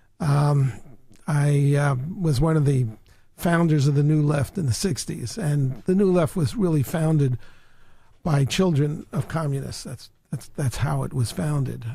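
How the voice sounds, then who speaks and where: With an American accent, a man speaks at a fairly slow pace in a fairly high pitch, his dark, mellow tone somewhat breathy and his pitch variation ordinary. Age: 70s. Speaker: author and activist. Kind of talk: interview. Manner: halting.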